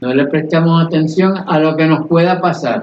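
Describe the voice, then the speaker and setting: A man's high-pitched voice moves at a fairly slow pace. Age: 90s. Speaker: radio host. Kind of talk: educational talk.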